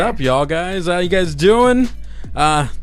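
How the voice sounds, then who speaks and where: A man talks at a moderate pace with music in the background. His pitch is high for a man, with ordinary pitch variation. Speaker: podcast co-host.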